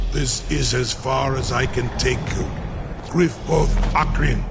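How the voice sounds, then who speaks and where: Over loud background noise, a put-on character voice comes through at a fairly slow pace. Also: man. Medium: machinima. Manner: archaic, solemn, measured.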